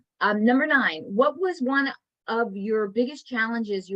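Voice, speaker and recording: A woman talks with lively intonation. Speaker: interview host. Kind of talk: interview. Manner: fast.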